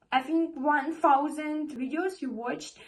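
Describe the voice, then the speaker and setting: A woman with a non-native accent speaks fairly slowly at a high pitch. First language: not English. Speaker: vlogger. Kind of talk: motivational talk to camera. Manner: halting, repeats words.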